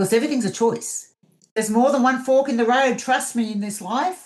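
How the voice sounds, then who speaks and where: Talking at a fairly quick pace, a woman with an Australian accent uses a fairly high pitch and ordinary pitch variation. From Australia, mid north coast of New South Wales. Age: 50s. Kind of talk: podcast interview.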